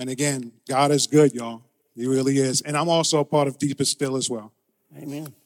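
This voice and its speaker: A man talks at a fairly quick pace. His fairly high voice stays monotone and flat. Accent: American. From Brooklyn, New York. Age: 50s. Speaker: church member. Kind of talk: testimony. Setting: church.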